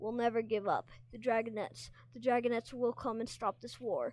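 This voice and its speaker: A female-sounding voice is put on as a character. It sounds strained and sits at a fairly high pitch. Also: moderate pace. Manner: despairing, defiant.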